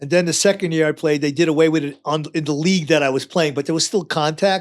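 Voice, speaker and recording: A man speaks with a New York accent. His pitch is fairly high, with ordinary pitch variation. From New York, Long Island. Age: 70s. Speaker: retired firefighter. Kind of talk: casual chat.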